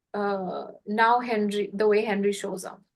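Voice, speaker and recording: A woman with a non-native accent speaks at a fairly slow pace against a quiet background. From India. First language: not English. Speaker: podcast host and healing facilitator. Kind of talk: casual conversation.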